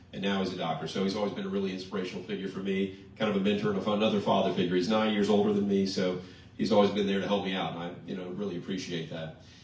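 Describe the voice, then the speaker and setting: Talking at a very fast pace, a man with a fairly low pitch keeps a monotone, flat intonation amid noticeable background noise and audible room echo. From Louisiana, Mandeville. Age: 30s. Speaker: politician. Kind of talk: campaign speech.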